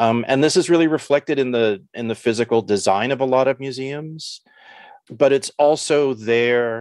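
Speaking in an ordinary speaking voice at a moderate pace, a man uses ordinary pitch variation, recorded with a dry, close sound with no echo against a quiet background. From New York City. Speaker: artist. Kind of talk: interview.

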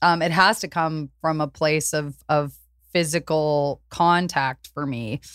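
Over a silent background in a very clean recording, a woman speaks very slowly in a very deep, low voice with fairly even intonation. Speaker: singer-songwriter. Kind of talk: casual interview chat.

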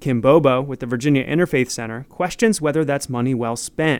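Recorded very cleanly against a silent background, a man talks in an unremarkable speaking voice with a fairly high pitch. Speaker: radio reporter. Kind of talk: news reading.

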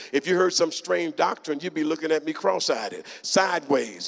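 Noticeable background noise runs beneath a man whose fairly high voice moves fairly quickly with ordinary pitch variation. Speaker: preacher. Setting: church with a live congregation.

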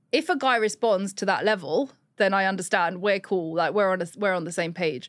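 With a British accent, a woman talks at a very fast pace in a medium pitch with ordinary pitch variation, recorded very cleanly against a silent background. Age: 30s. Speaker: dating story guest. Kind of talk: personal storytelling in casual chat.

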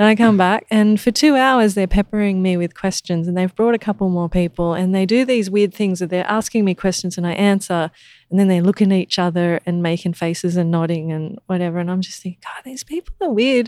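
A woman's medium-pitched voice with an Australian accent, fairly quick and with hardly any pauses, in a dry, close sound with no echo and a very clean recording against a silent background. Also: ordinary pitch variation. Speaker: sustainability educator. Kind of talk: interview.

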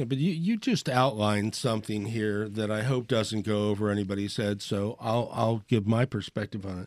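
An unremarkable speaking voice at a moderate pace, in a very clean recording over a silent background. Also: man, fairly low pitch for a man. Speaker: radio host. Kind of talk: radio interview. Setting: studio.

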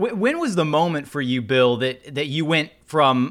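A man with a fairly high pitch talks at a moderate pace with very wide pitch swings, captured in a very clean recording with a silent background. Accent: American. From Houston, Texas. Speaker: podcast host. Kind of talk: interview.

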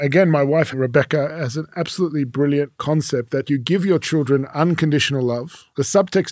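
Over a very clean recording with a silent background, a fairly high-pitched man with an Australian accent speaks fairly quickly with fairly even intonation. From Australia (Melbourne). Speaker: legal scholar and diplomat. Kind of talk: casual chat.

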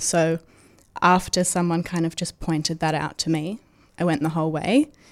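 A woman with an Australian accent at fairly low pitch and moderate pace, monotone and flat, in a very clean recording with a silent background. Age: 20s. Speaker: animal rights activist and author. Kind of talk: interview conversation.

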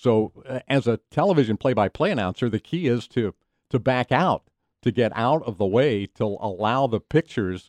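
A plain, everyday voice with an American accent moves at a moderate pace with lively intonation, the sound dry and close with no echo. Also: man, medium pitch for a man. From US South, Knoxville, Tennessee. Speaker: TV play-by-play broadcaster. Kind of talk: interview.

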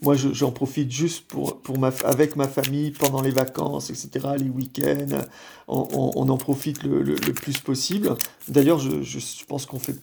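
At a moderate pace, a man talks in a dark, mellow tone with fairly high pitch and fairly even intonation. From Brittany, France (Brest, Finistère). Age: 50s. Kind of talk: interview. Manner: halting, repeats words.

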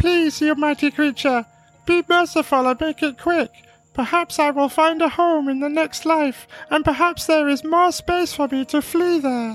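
Over music in the background, a put-on character voice that sounds female speaks at a high pitch for a woman. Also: moderate pace.

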